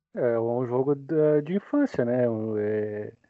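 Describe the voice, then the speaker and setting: Speaking in a plain, everyday voice, a man keeps his intonation fairly even. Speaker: podcast editor. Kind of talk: casual chat.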